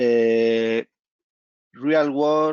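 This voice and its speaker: Speaking with a Spanish accent, a man uses a medium pitch and fairly even intonation. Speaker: company executive. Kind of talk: presentation. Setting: video call. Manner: halting.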